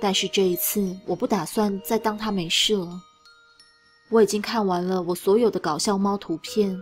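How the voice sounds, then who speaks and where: With music in the background, a woman at a medium pitch keeps a moderate pace and fairly even intonation. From Taiwan. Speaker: story reader, streamer. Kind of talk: horror story reading, narration.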